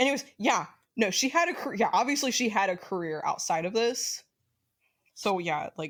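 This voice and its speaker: On a very clean recording with a silent background, a woman speaks at a moderate pace with lively intonation and a slight Southern US accent. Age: 20s. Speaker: podcast co-host. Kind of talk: casual chat.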